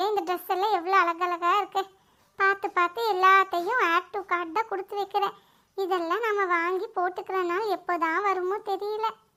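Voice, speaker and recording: In a cartoonish character voice, a woman speaks at an extremely high pitch with monotone, flat intonation and a moderate pace. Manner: chatty, talks to herself.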